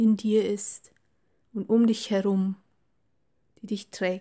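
The tone is calm and soothing. The pace is very slow. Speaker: meditation guide. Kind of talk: guided meditation. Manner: slow, calm, soothing; gentle, warm, unhurried.

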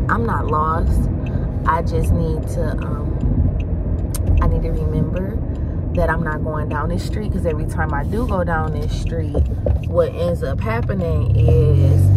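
Over music in the background, the voice moves at a fairly slow pace with a dry sound and no echo. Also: woman. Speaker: vlogger, new instructor. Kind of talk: casual vlog chat. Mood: chatty, briefly annoyed. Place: car. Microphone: phone near.

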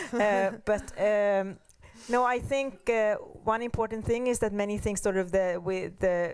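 Speaking at a fairly slow pace, a woman keeps medium pitch and fairly even intonation. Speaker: panelist. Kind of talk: panel discussion. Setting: seminar with audience. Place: hall. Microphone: handheld.

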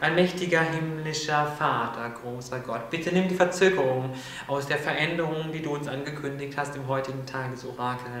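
Over light background noise and audible room echo, a man speaks with fairly even intonation. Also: moderate pace. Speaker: spiritual video host. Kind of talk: prayer. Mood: solemn, heartfelt. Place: studio.

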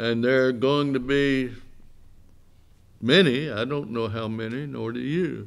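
A man speaks at medium pitch and a fairly slow pace, with vocal fry. His intonation stays fairly even.

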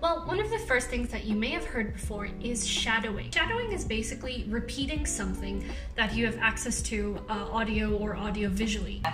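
Over clear music in the background, a woman talks at a fairly quick pace with hardly any pauses. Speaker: language learning youtuber. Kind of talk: tutorial. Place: home room.

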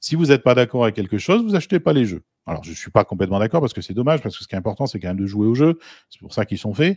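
Talking at a very fast pace, a man at medium pitch shows very wide pitch swings and big swings in loudness. The sound is dry and close with no echo, and the recording is very clean with a silent background. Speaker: guest analyst on game law. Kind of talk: debate discussion.

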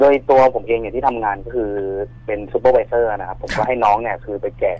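The sound is dry, with no echo. A man speaks with fairly even intonation. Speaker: guest. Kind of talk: storytelling to a radio host. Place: studio.

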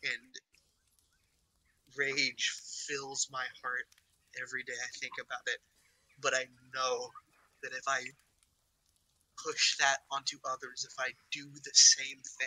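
A strained, put-on character voice at a fairly slow pace, broken by long, frequent pauses. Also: man, medium pitch for a man. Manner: earnest, restrained anger.

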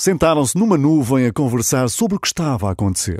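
A man with a European Portuguese accent speaks at a fairly high pitch with very wide pitch swings. The sound is dry with no echo, and the background is quiet. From Portugal. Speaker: radio presenter. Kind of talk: children's story read aloud. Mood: warm, smiling. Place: studio.

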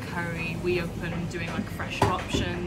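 Music sounds behind the voice. It belongs to a woman. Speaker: interviewee. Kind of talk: interview answer. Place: cafe. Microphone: phone near.

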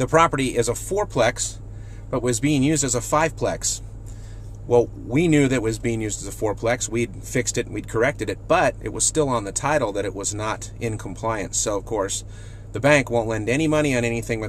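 The pace is fairly quick as a man speaks. The sound is dry with no echo, and there is light background noise. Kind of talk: casual vlog tip. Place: car. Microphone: phone near.

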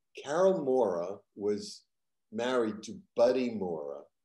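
Audible room echo surrounds a man's voice. His tone is dark and mellow, and his intonation is lively. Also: quiet background. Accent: American. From Boston area, Massachusetts. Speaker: stand-up comedian and TV writer; stand-up comedian. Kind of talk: casual interview. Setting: video call. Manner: animated storyteller. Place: home room. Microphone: video call.

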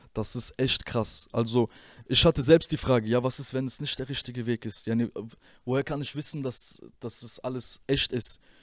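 The speech moves at a moderate pace with fairly even intonation, in dry sound with no echo and a quiet background. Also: man. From Germany, Rüsselsheim (Hesse); Hesse, Germany. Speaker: former rapper; interview guest. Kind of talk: interview testimony; interview answer. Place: studio. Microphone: handheld.

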